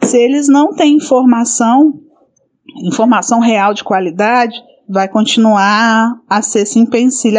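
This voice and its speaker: A woman speaks at a fairly slow pace. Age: 40s. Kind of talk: interview.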